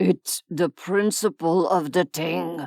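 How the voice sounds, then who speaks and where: A put-on character voice, gruff and raspy, at a middle pitch and a very slow pace. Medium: read story. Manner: gruff, terse.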